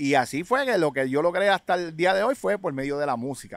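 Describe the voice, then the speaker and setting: A man talks at a moderate pace with lively intonation. The sound is dry with no echo, and the background is quiet. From Puerto Rico, public housing projects. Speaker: rapper and DJ, genre pioneer; DJ. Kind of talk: casual interview. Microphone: studio mic.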